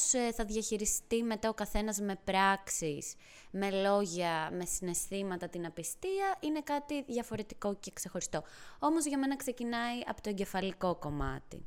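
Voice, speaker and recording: At a fairly slow pace, a woman speaks with a fairly high pitch that swings very widely. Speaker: podcast co-host. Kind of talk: casual chat.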